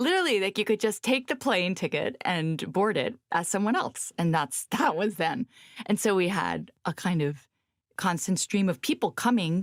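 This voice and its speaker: A woman speaks at a medium pitch and a moderate pace, her intonation lively and her loudness very even. The recording is very clean with a silent background, and the sound is dry and close with no echo. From US, northern Virginia. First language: Spanish. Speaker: journalist and author. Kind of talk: interview.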